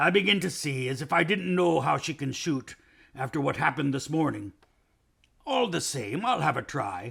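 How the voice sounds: A man uses a put-on character voice that is gruff and fairly high-pitched. He keeps a moderate pace.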